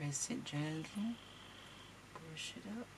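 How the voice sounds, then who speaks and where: Someone whispers amid noticeable background noise and audible room echo. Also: woman. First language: not English. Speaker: crafting tutorial host. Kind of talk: tutorial. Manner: casual, hesitant.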